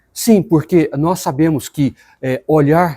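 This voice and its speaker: Here a man with a fairly high pitch and a dark, mellow tone uses lively intonation. The sound is dry and close, with no echo. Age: 60s. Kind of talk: personal reflection talk. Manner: halting, with many fillers.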